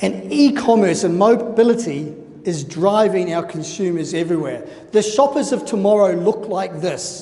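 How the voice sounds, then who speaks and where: A moderate-paced voice in a New Zealand accent over noticeable background noise. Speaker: conference speaker. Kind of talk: conference presentation.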